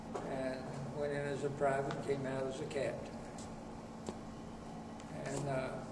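A man talks fairly slowly, leaving long, frequent pauses, while loud noise fills the background. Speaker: former Scout executive. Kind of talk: interview answer. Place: meeting room.

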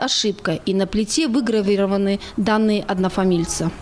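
A woman's voice amid noticeable background noise. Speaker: TV news reporter. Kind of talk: TV news report narration.

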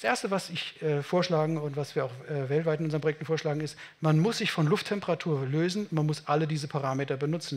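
A man speaks in a plain, everyday voice, fairly high in pitch and at a fairly quick pace. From Germany, Munich; Germany. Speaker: building physicist / climate engineer; invited lecturer. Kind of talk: conference talk. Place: meeting room. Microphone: headset.

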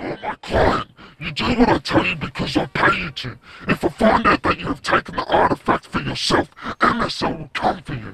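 Speaking at a moderate pace, a man talks in a high pitch. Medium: machinima. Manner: cold, threatening.

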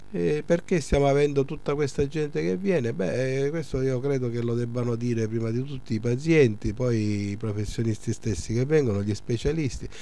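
A man of medium pitch speaks at a moderate pace with lively intonation and hardly any pauses, in a dry sound with no echo. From Sicily. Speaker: surgeon and clinic director. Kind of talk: interview. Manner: hesitant, many fillers. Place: office. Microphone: handheld.

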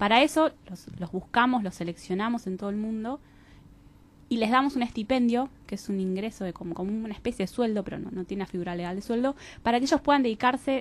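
A woman talks at a fairly quick pace with lively intonation, the sound dry with no echo. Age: 30s. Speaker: social enterprise organization representative; interview guest. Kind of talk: radio interview. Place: studio.

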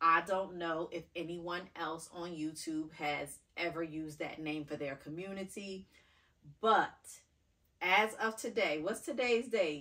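A woman speaks at a fairly slow pace in a fairly low, bright and sharp voice with ordinary pitch variation against a quiet background. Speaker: fashion vlogger. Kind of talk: casual vlog chat. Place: home room. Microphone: camera far.

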